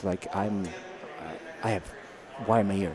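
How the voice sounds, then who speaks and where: Over noticeable background noise, a man with an Italian accent speaks at a fairly low pitch. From Italy. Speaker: software product manager. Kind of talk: casual interview. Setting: conference. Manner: halting.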